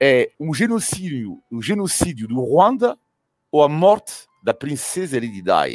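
Over music in the background, a man with a French accent talks at a fairly slow pace in a fairly high pitch with very wide pitch swings, the sound dry and close with no echo. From France. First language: French (speaking Portuguese). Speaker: cycling commentator. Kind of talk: casual chat. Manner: animated; halting.

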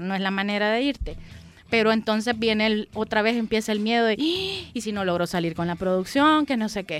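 A woman with an ordinary speaking voice talks at a fairly quick pace and fairly high pitch, with ordinary pitch variation. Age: 30s. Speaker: graphic designer and entrepreneur. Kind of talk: interview.

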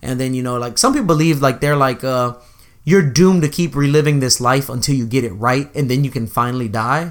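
Moving at a fairly quick pace, a man with a medium-pitched voice shows ordinary pitch variation. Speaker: podcast co-host. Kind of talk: casual chat.

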